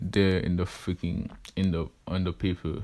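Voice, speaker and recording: The voice is quiet. It moves at a very slow pace. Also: man. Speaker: fan fiction storyteller youtuber. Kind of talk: improvised story narration; casual intro chat. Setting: at home at night. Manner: quiet, holding voice down; casual, many fillers.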